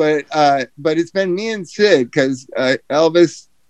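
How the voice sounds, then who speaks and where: His voice is an ordinary speaking voice. The man's pitch sits fairly high and varies in an ordinary way. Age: 60s. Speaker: podcast host, treatment center founder. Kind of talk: casual chat.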